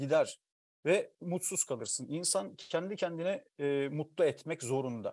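At a fairly slow pace, a man with a fairly high pitch speaks in a dry sound with no echo against a quiet background. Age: 40s. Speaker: writer; guest. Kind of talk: casual chat. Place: home room. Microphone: earbuds.

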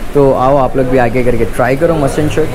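Noticeable background noise is present throughout. The talking goes at a fairly quick pace. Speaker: food vlogger. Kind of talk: casual vlog chat. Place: kitchen. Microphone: phone near.

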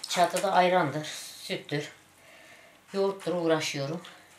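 A woman talks at a moderate pace with a fairly low pitch and a monotone, flat intonation. Noticeable background noise can be heard. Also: long, frequent pauses. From Turkey, Dersim (Ovacık). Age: 60s. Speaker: livestock farmer. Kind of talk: news interview testimony. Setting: outdoors / barn on the farm. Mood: somber, complaining of hardship.

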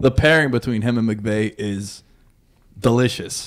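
Quiet background and a man speaking with fairly even intonation. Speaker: podcast co-host. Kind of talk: sports commentary. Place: studio. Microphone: studio mic.

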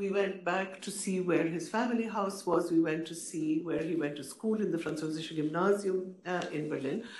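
A woman's lively intonation with audible room echo. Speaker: panelist. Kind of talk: panel talk, personal recollection. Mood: warm, reflective. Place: hall. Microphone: podium.

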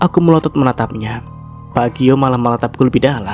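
The clip has an unforced reading voice. Its pitch variation is ordinary.

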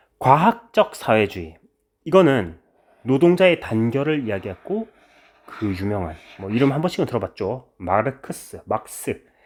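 Speaking at a fairly slow pace, a man at a medium pitch swings his pitch very widely. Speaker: history teacher. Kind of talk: lecture. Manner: casual conversational.

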